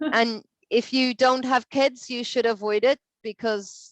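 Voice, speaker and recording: A woman with an Irish accent speaks very slowly with ordinary pitch variation, in a dry, close sound with no echo and a quiet background. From Ireland. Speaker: English teacher. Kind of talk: online language lesson conversation.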